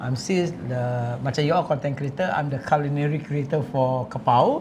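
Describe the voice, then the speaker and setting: A man talks fairly slowly in a fairly high voice, his pitch varying in an ordinary way while noticeable background noise goes on. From Singapore. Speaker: chef. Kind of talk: casual chat.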